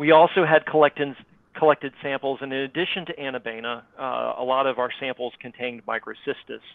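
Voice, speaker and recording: With an American accent, a man speaks fairly quickly at a medium pitch, his intonation fairly even but his loudness swinging widely. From North Florida. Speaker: water quality scientist. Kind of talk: presentation. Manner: hesitant, many fillers.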